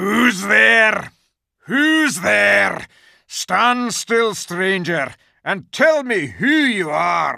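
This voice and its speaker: Putting on a character voice, a man growls at a high pitch and a very slow pace. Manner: menacing, demanding.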